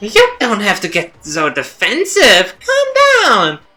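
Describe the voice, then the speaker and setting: Faint music plays in the background of a put-on character voice with very wide pitch swings. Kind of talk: comic overacting. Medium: virtual streamer. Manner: playful, mocking, showy.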